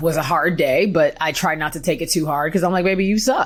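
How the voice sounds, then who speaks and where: This woman has an American accent. Her intonation is fairly even. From Texas, Houston. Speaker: podcast host. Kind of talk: casual chat. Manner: fast; laughing.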